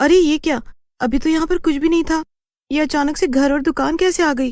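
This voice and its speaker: A female-sounding cartoonish character voice races at a very fast pace, pitched high, against a quiet background. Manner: wary, questioning.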